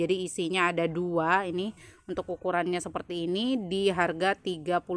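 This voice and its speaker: A woman speaks at a medium pitch. The sound is dry, with no echo. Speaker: plant seller. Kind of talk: sales presentation. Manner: brisk, run-on listing of prices and leaf traits with little pause; friendly, chatty, peppered with 'ya teman-teman' fillers. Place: garden. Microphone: phone near.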